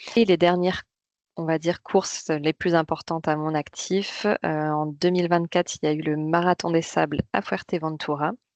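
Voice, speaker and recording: A woman's fairly low voice at a moderate pace, fairly even in intonation, with a dry, close sound and no echo. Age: 30s. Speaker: amateur trail runner. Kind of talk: interview. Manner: hesitant, many fillers.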